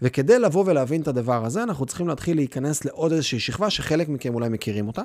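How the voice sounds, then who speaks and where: A man races through his words at a very fast pace, his pitch swinging very widely. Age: young. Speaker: podcast host. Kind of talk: solo podcast monologue.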